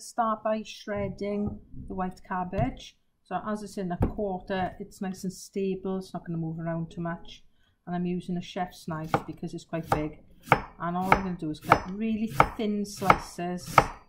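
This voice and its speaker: A woman talks at a moderate pace as loud background noise carries on. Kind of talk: tutorial. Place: kitchen. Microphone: camera far.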